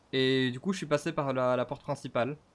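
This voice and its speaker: A man's fairly high voice at a fairly slow pace. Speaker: gaming streamer. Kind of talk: let's play commentary. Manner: animated.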